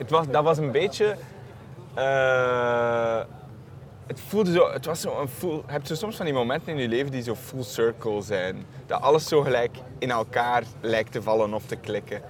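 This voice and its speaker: He speaks at a moderate pace with a medium pitch. His pitch varies in an ordinary way. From Belgium (Flanders). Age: young. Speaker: film director, jury member. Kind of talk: interview. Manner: hesitant, repeating words.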